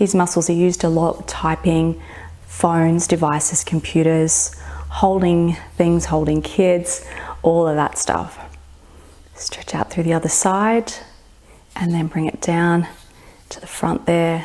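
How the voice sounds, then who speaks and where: The tone is soothing, the intonation monotone and flat. Delivery is fairly slow, with long, frequent pauses. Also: woman, fairly low pitch for a woman. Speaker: fitness and meditation instructor. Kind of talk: guided meditation with gentle stretching cues. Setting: home studio floor session on video. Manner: slow, soothing, reassuring with long pauses; soft-spoken, gently permissive affirmations. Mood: calm, soothing. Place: home room.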